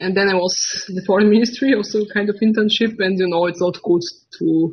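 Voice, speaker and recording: A woman with an Austrian accent at a medium pitch, fairly quick in pace, with ordinary pitch variation. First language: German. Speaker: political video channel host. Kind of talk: interview. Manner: halting, hesitant.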